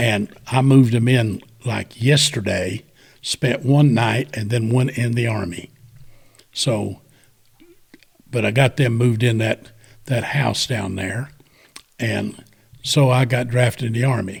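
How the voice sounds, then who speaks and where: A man with a Southern US accent speaks at a medium pitch and a fairly slow pace, with fairly even intonation and long, frequent pauses. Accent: Southern US (Georgia). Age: 70s. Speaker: war veteran. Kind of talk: storytelling. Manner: casual, conversational.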